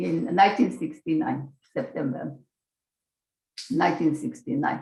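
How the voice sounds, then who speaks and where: A woman's voice carries vocal fry. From Slovakia. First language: Slovak. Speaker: Holocaust-era survivor and immigrant. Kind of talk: testimony. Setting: video call.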